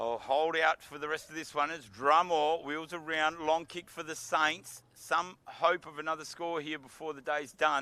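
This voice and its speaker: In an Australian accent, a man with a fairly high pitch and a bright, sharp tone talks at a moderate pace. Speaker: football commentator. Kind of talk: live commentary. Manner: animated.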